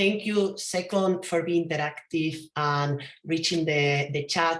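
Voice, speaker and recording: A woman with a strong Spanish accent, fairly low in pitch with ordinary pitch variation, at a fairly slow pace. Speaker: event co-host. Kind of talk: online event closing address.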